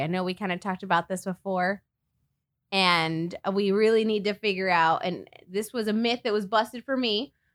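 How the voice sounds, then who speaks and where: The delivery is animated and moderately paced, in a dry, close sound with no echo on a very clean recording with a silent background. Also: woman. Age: 30s. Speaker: podcast host. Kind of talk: casual chat.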